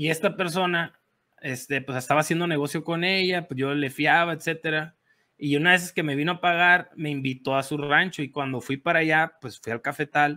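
On a very clean recording with a silent background, a man talks at a moderate pace in a bright, sharp, animated tone, with a fairly high pitch and ordinary pitch variation. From Sonora, Mexico. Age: 30s. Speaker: coffee farmer and café entrepreneur. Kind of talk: interview storytelling.

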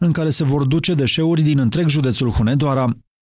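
Fairly high in pitch for a man, this is a normal speaking voice with ordinary pitch variation. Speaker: news reporter. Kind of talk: scripted narration.

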